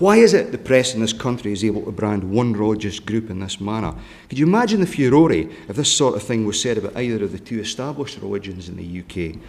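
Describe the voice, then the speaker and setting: With a Scottish accent, a man talks at a very fast pace with hardly any pauses, his fairly low voice showing ordinary pitch variation and big swings in loudness amid audible room echo. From Scotland. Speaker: politician. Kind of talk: conference speech.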